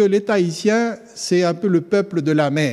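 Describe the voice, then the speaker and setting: A man's high-pitched voice at a moderate pace. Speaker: theology student. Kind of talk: sermon.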